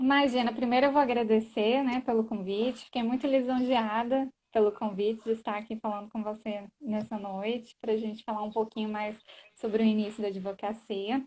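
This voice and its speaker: Somewhat breathy and dark, mellow in tone, a woman's fairly high voice holds a flat monotone at a moderate pace. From Brasília area, Goiás and Minas Gerais, Brazil. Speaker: lawyer. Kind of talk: live stream conversation.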